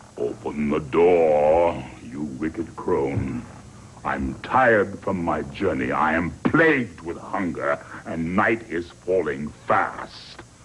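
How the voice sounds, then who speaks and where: A man puts on a growling character voice, very deep and low, speaking very slowly over clear background noise. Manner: growling, demanding.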